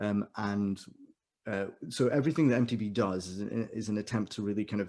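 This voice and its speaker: A man's fairly low, dark, mellow voice with fairly even intonation. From India. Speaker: music exam board manager and choir director. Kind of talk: webinar presentation. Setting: video call. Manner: fast; mumbling.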